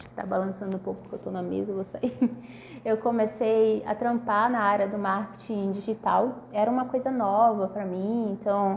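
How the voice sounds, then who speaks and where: A moderate pace and fairly even intonation. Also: woman, medium pitch for a woman. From northern Brazil, Manaus. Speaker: PhD student researcher. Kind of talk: casual video talk about research. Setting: self-recorded video at a table. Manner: hesitant, many fillers.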